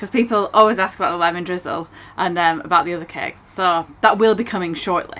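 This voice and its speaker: In a Lancashire accent, a woman speaks at medium pitch with ordinary pitch variation and a bright, sharp tone. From northern England, Blackburn, Lancashire. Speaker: narrowboat cafe owner and vlogger. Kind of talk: casual Q&A chat.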